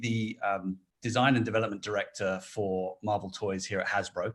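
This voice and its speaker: A man speaking with a British accent. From Britain. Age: 40s. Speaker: toy company design director. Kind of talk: interview. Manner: talkative.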